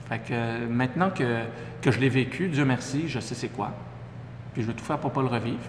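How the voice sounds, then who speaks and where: A man with a Quebec accent and medium pitch talks at a fairly quick pace with ordinary pitch variation, heard through audible room echo and noticeable background noise. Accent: Québécois French. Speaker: entrepreneur. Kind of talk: interview.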